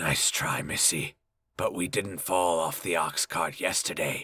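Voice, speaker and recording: A man's put-on character voice, raspy and very deep and low, at a fairly slow pace with very even loudness. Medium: read story. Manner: blunt, sneering.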